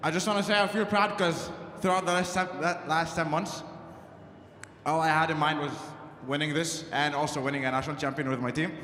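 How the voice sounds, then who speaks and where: Long, frequent pauses break up the speech, which has ordinary pitch variation. Audible room echo surrounds the voice. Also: man. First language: not English. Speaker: college squash champion. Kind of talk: victory speech. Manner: halting.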